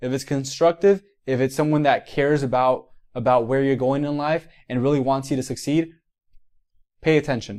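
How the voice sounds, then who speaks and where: An animated man with a Miami accent, fairly high in pitch, at a moderate pace with ordinary pitch variation. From Miami, Florida. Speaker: physical therapist and mentor. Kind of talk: motivational livestream talk. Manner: halting, many repetitions.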